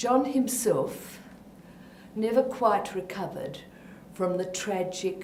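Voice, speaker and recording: A woman with an Australian accent speaks very slowly at a medium pitch, taking long, frequent pauses. Noticeable background noise and audible room echo come through. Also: ordinary pitch variation. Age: old. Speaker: elder telling local stories. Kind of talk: oral history storytelling.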